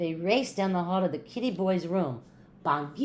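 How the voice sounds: Reading in a natural voice.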